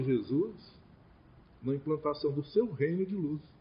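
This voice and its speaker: A man at a moderate pace. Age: 60s. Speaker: spiritist lecturer. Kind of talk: religious lecture.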